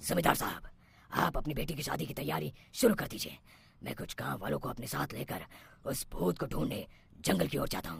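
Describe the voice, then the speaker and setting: Putting on a cartoonish character voice, a man talks at a fairly quick pace, his fairly low pitch making very wide swings. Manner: authoritative.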